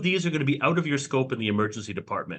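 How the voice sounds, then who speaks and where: Loud and fairly high-pitched, a man's voice moves through very wide pitch swings. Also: quiet background. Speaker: emergency physician. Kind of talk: lecture. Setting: video call.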